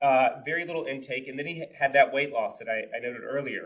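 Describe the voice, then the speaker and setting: This man talks very fast at a fairly high pitch with ordinary pitch variation. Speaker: clinical feeding specialist, case manager. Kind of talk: conference presentation.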